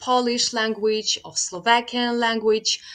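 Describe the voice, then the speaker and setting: A woman with a Ukrainian accent speaks at a fairly high pitch. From western Ukraine, Transcarpathia. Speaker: caller, language learner. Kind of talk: casual chat.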